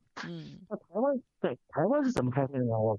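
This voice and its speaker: A man's voice with a fairly high pitch. He talks at a fairly quick pace. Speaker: radio caller. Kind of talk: phone-in commentary. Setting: phone call. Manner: halting, many fillers and repetitions.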